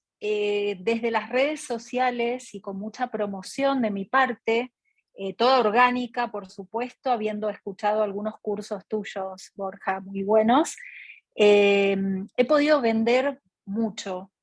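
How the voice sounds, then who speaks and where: With an Argentine accent, the speech comes at a very slow pace with fairly even intonation and a dry, close sound with no echo. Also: woman, fairly high pitch for a woman. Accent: Argentine Spanish (Rioplatense). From Argentina. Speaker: artist, audience participant. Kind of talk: question in online Q&A session.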